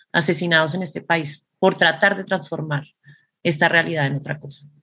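A woman speaks at a moderate pace with ordinary pitch variation in an ordinary speaking voice, on a very clean recording with a silent background. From Colombia. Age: 40s. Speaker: performance artist. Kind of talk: interview.

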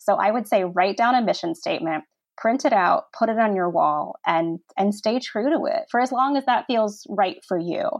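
This woman has an ordinary speaking voice with an American accent. Her pitch is fairly high and her intonation lively. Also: moderate pace. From Virginia, US (Virginia Beach). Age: 30s. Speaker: design blogger and publisher. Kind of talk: interview.

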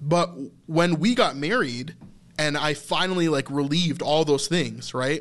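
A man's fairly high-pitched, normal speaking voice at a fairly slow pace, with ordinary pitch variation. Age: 30s. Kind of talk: casual faith discussion.

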